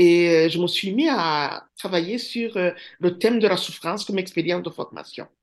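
Speaking fairly slowly with hardly any pauses, a woman keeps a fairly low pitch and ordinary pitch variation. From Rwanda. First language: Kinyarwanda (speaking French). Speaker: professor. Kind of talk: interview.

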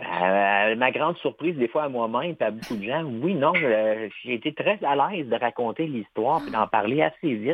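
This man has a plain, everyday voice. His medium-pitched speech moves at a fairly slow pace with lively intonation. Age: 40s. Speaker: amputee athlete, triathlete. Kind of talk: interview.

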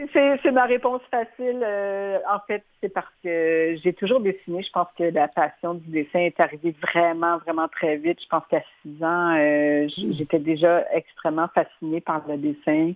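Fairly slow delivery in a plain, everyday voice, its intonation lively. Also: woman, fairly low pitch for a woman. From Quebec. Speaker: illustrator. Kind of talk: interview.

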